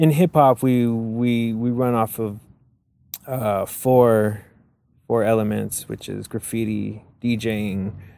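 A man speaks at a very slow pace with a medium pitch and a dark, mellow tone. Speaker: graffiti artist. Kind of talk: interview. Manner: halting, many repetitions and fillers.

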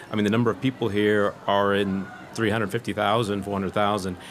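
A man speaks with a Californian accent over noticeable background noise. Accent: Californian American. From California, US. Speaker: journalist. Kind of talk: casual chat. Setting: pop-up radio studio at a design fair.

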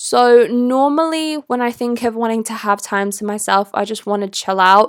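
In a very clean recording with a silent background, a woman with a British accent talks at a fairly high pitch. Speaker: podcast host and content creator. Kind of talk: casual solo monologue.

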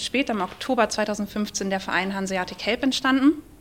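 A woman speaks with an ordinary speaking voice at a fairly high pitch. Her pace is moderate, with ordinary pitch variation. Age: 40s. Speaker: charity press officer. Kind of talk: live podcast interview. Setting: stage with audience at a trade fair.

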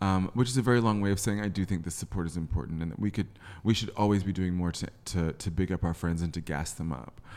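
The recording is very clean, with a silent background. A man with a very deep, low pitch speaks at a very fast pace with ordinary pitch variation. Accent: American. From England and the US (British mother, US high school). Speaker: podcast host (guest). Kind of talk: casual interview chat.

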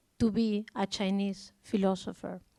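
A woman with a strong Spanish accent, on a very clean recording with a silent background. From Spain. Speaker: art curator. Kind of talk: public conversation.

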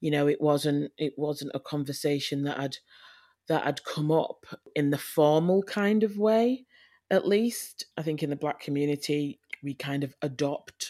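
A woman with a Yorkshire accent speaks at a moderate pace in a very deep, low voice with a dark, mellow tone, on a very clean recording with a silent background. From Leeds, northern England. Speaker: adoptive mother. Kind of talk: interview.

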